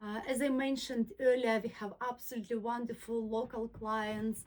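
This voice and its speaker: A woman with a fairly high pitch and a non-native accent. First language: not English. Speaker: soft furnishings maker and YouTuber. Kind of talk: personal talk to camera. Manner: halting, with frequent fillers.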